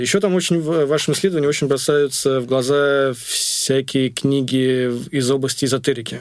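A man talks at a medium pitch. There is noticeable noise in the background. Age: 30s. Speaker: podcast host. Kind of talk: interview.

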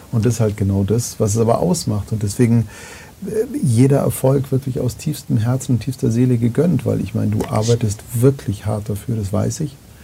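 Over noticeable background noise, a man at medium pitch talks at a moderate pace with ordinary pitch variation. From Bavaria, near Munich. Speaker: podcast host. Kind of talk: casual interview. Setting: live-streamed talk, studio. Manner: loud.

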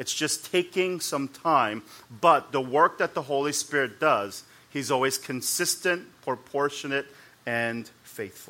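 With an unremarkable speaking voice, this man has a fairly high pitch, ordinary pitch variation and a fairly slow pace. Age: 40s. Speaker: pastor. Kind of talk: sermon.

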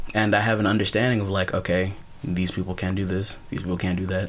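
Noticeable background noise sits behind a man with an American accent. He talks very fast at a fairly low pitch, with fairly even intonation. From US South, Birmingham, Alabama. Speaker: podcast co-host. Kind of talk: casual chat. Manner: laughs often.

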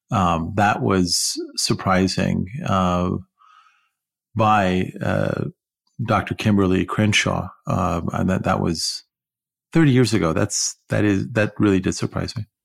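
On a very clean recording with a silent background, a man with a very deep, low pitch and vocal fry talks with an American accent at a very slow pace, leaving long, frequent pauses. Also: ordinary pitch variation. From Iran, raised partly in California. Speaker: podcast co-host. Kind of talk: casual chat.

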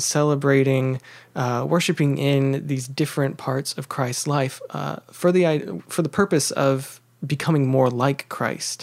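Using an unremarkable speaking voice, a man talks at a fairly slow pace with a fairly high pitch and fairly even intonation. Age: 20s. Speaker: humanities scholar. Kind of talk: casual chat.

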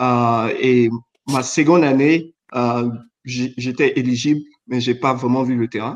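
In a medium pitch with fairly even intonation, a man talks at a very slow pace, leaving long, frequent pauses. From Chad. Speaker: former basketball player, finance professional. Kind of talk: casual chat.

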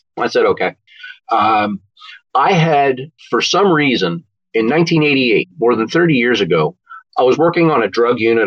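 This man has a normal speaking voice and an American accent, talking at a moderate pace. His intonation is lively while his loudness stays very even. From Philadelphia suburbs, Pennsylvania. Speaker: retired police officer and crime novelist. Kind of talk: interview.

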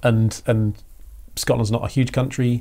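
With an Essex accent, a man speaks in a dark, mellow tone that is somewhat breathy. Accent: southern English (Essex). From Essex, England. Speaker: creative director. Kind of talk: casual interview chat.

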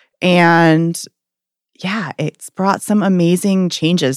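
A woman with an American accent at a fairly slow pace, her intonation fairly even, in a very clean recording with a silent background. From Maine, US (Portland). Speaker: addiction counselor. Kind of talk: interview. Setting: in person.

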